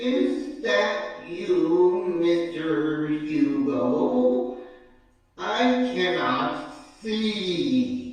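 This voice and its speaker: A put-on character voice at a middle pitch moves at a very slow pace amid strong echo. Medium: audio drama. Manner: courteous, formal servant.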